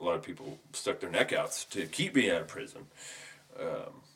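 Mumbling at a fairly quick pace. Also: man. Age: 30s. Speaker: podcast guest, friend of host. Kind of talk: casual chat. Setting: home studio. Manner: varies between mumbling and boisterous.

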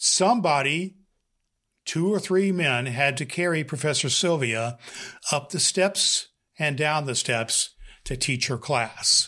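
On a very clean recording with a silent background, a man with a fairly high pitch and a bright, sharp tone speaks very slowly with lively intonation and long, frequent pauses. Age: 60s. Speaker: podcast host and former pastor. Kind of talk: monologue talk.

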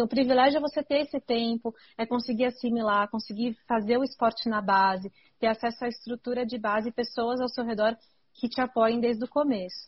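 An ordinary speaking voice from a woman, fairly high-pitched, at a fairly quick pace with fairly even intonation. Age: 30s. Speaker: mountain bike racer and podcast host. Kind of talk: casual chat.

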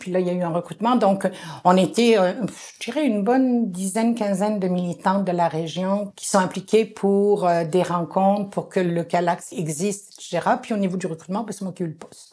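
A woman's voice, dark and mellow in tone, with fairly even intonation. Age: 60s. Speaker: community organizer. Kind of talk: interview.

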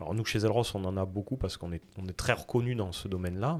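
On a very clean recording with a silent background, a man speaks at a fairly quick pace. His pitch is very deep and low, with ordinary variation. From southwest France. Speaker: insurtech startup founder. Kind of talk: interview.

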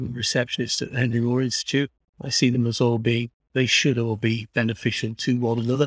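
A man's somewhat breathy voice at a medium pitch, monotone and flat, at a fairly quick pace, in a dry, close sound with no echo. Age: 50s. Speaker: artist and gallery worker. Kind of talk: casual interview.

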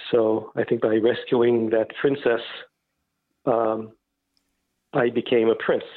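A man speaks very slowly at a medium pitch, his loudness very even and his intonation flat and monotone, with long, frequent pauses. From Turkey. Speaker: musician. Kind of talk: interview. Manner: hesitant, many fillers.

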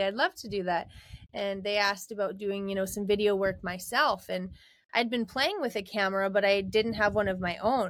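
A woman at medium pitch with a Canadian Prairies accent, fairly quick in pace, in a very clean recording with a silent background. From Alberta, Canada. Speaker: rodeo queen and social media influencer. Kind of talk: interview.

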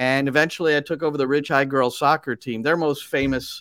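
On a very clean recording with a silent background and a dry, close sound with no echo, a man with an unremarkable speaking voice, fairly high in pitch, talks at a moderate pace in an American accent with fairly even intonation. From New Jersey. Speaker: soccer broadcaster and coach. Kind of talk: interview.

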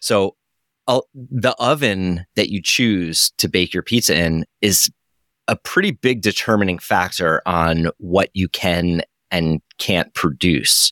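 In an American accent, a man with a very deep, low pitch talks very slowly in a bright, sharp tone with ordinary pitch variation, the sound dry and close with no echo on a very clean recording with a silent background. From Matawan, central New Jersey. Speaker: pizza chef and restaurant owner. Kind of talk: casual interview chat.

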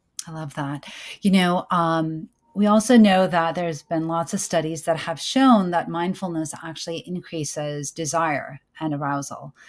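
A woman with an American accent speaks in an ordinary speaking voice, fairly low in pitch with ordinary pitch variation, at a moderate pace. Her loudness swings widely, and the recording is very clean with a silent background. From US. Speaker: podcast host and OB-GYN. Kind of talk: casual interview chat.

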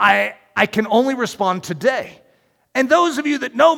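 Over a very clean, silent background, a man speaks in a raised, projected voice at a moderate pace. His tone is bright and sharp, and his pitch swings very widely. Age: 50s. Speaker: pastor. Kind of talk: sermon.

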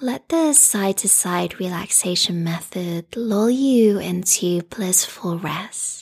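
In a soothing, calm tone, a woman speaks very slowly with hardly any pauses, her voice somewhat breathy and her intonation lively. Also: medium pitch for a woman. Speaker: restorative yoga teacher. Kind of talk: guided meditation. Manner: slow, soothing, calm; soft-spoken, gentle, with long pauses.

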